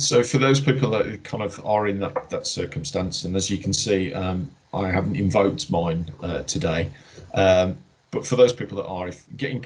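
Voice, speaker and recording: A man with a slight Birmingham accent, fairly low in pitch, at a moderate pace with lively intonation. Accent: slight Brummie twang. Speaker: healthcare trust director. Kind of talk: workplace Q&A. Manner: hesitant, many fillers and repeats.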